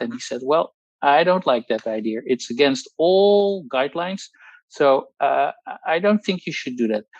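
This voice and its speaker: A man with a Dutch accent speaks at a moderate pace with lively intonation, the sound dry and close with no echo. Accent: Dutch accent, non-native English. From Netherlands. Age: 60s. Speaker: pharmacologist giving a testimonial. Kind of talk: testimony. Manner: halting, many fillers and repetitions.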